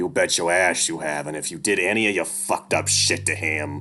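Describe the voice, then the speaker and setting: A man growls in a put-on character voice, very deep and low, at a fairly quick pace with ordinary pitch variation. Music plays in the background. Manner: threatening, tense.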